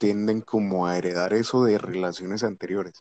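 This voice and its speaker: This man has a plain, everyday voice, pitched fairly low with fairly even intonation. He speaks at a moderate pace, and the sound is dry and close with no echo. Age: 20s. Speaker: co-host, former soldier. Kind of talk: casual live chat.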